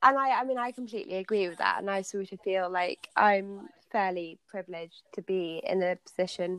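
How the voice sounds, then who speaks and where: A plain, everyday voice speaks at a fairly quick pace with hardly any pauses and ordinary pitch variation. The sound is dry and close, with no echo. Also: woman, medium pitch for a woman. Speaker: podcast host. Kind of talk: casual interview chat.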